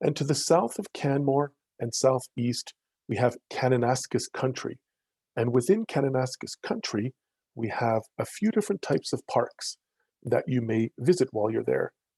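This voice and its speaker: A man talks at a moderate pace with lively intonation and a medium pitch. His tone is dark and mellow, and somewhat breathy. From Netherlands. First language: Dutch. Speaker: wildlife education program director. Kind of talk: educational presentation.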